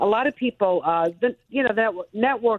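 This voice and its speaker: A Brooklyn accent with ordinary pitch variation, at a moderate pace. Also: woman. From Brooklyn, New York. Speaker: TV news anchor. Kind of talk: casual interview chat.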